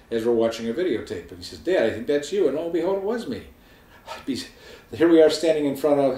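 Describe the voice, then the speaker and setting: Talking at a very fast pace in a fairly high voice, a man uses lively intonation and big swings in loudness, with audible room echo around him. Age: 60s. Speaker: weight-loss surgery patient. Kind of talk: personal testimony to camera. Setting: home video filmed by wife. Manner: casual conversational.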